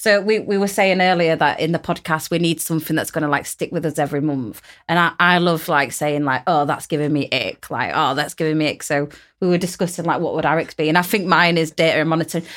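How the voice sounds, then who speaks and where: In a very clean recording with a silent background, a woman with a South Yorkshire accent speaks very fast at a fairly low pitch with fairly even intonation. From Rotherham, South Yorkshire. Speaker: podcast host, arts project lead. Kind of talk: casual chat.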